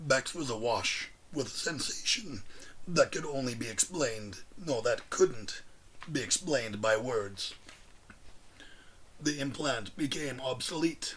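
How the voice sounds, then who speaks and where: Over light background noise, a man in a raspy, put-on character voice speaks at a fairly slow pace and a medium pitch. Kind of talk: audiobook reading. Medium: read story. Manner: measured, deliberate.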